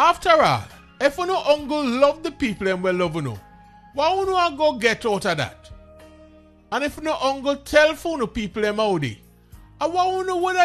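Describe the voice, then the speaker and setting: A man with a Jamaican accent speaks at a moderate pace in an extremely high pitch, his voice swinging very widely, with music in the background. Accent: Jamaican Patois. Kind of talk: scripture reading.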